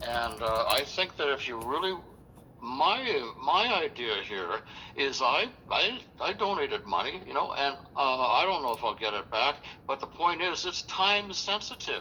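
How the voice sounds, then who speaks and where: Speaking with an American accent, a man talks at a fairly slow pace and fairly high pitch. His pitch swings very widely over noticeable background noise. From California, Los Angeles. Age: 70s. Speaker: caller. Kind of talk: phone call. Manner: halting.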